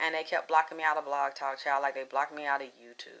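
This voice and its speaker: Someone talks at a very fast pace in an animated tone. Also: woman. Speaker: psychic livestream host. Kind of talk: live stream chat with viewers. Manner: loud.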